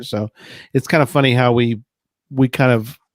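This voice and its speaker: In a very clean recording with a silent background and a dry, close sound with no echo, a man with an American accent speaks at a fairly slow pace, at medium pitch and with ordinary pitch variation. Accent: Texas accent over a Midwestern base. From Texas, with Midwestern parents. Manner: casual, conversational.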